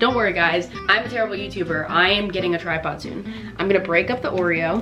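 The speech moves at a very fast pace. Loud music plays in the background. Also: woman. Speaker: vlogger. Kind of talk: casual vlog tutorial. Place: kitchen. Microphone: phone near.

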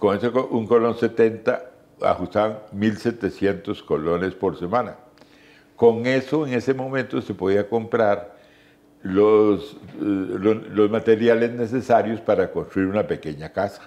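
This man speaks at a very slow pace. His pitch varies in an ordinary way. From Costa Rica, San José. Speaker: journalist and radio veteran. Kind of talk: interview. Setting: at his home. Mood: warm, reminiscing. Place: home room. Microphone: lapel.

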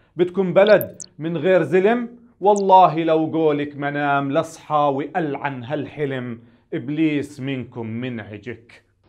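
A man speaks at a very slow pace with ordinary pitch variation. The background is quiet. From Palestine. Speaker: poet. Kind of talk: spoken-word poetry performance. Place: studio. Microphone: lapel.

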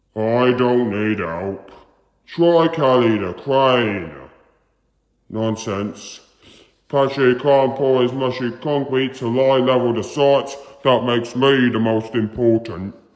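A man puts on a character voice at a medium pitch. He speaks at a fairly slow pace with a slight echo. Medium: dub. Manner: proud, boastful.

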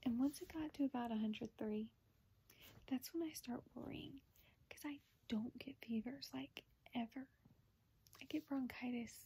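A woman with an American accent, high in pitch with a dark, mellow tone, at a fairly slow pace with ordinary pitch variation and long, frequent pauses. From US South. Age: 20s. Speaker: vlogger with a rare disease. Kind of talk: personal video update. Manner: casual, filler-heavy. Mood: recounting worrying illness. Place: home room. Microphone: phone near.

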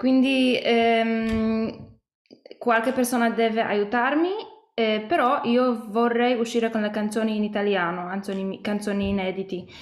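Slowish and fairly even in intonation, a woman with a Polish accent speaks at a fairly high pitch, with audible room echo. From Poland. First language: Polish (speaking Italian). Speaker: singer-songwriter; interviewee. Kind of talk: interview. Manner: halting, with many hesitations. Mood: calm, friendly. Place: home room. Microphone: video call.

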